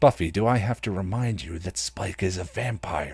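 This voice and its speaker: In a raspy, put-on character voice, a man speaks at a moderate pace with a very deep, low pitch and lively intonation, recorded very cleanly against a silent background. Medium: read story. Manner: complaining, stiff.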